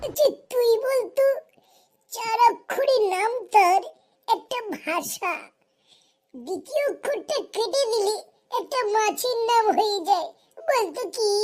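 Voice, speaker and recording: A cartoonish character voice, squeaky and extremely high-pitched, speaks in a playful tone at a fairly slow pace. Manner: playful, teasing.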